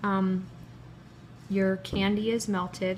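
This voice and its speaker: Soft-spoken and monotone, a woman talks at a very slow pace in a medium pitch with flat intonation. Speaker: cake pop baker. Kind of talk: tutorial. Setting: live stream video.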